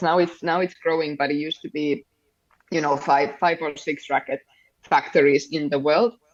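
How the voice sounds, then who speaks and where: This is a woman speaking. She talks with a Finnish accent. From Finland. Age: 30s. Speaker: padel coach. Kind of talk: interview.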